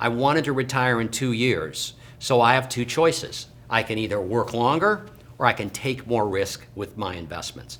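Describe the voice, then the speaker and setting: At a medium pitch with ordinary pitch variation, a man speaks at a moderate rate in an unremarkable speaking voice. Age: 60s. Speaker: financial planner. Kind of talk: educational talk to camera.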